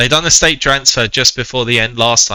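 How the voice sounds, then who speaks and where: This man has a British accent and a bright, sharp tone. He talks at a moderate pace on a very clean recording with a silent background. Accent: UK. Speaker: game commentator. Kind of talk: live commentary; casual chat. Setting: live stream. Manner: hesitant.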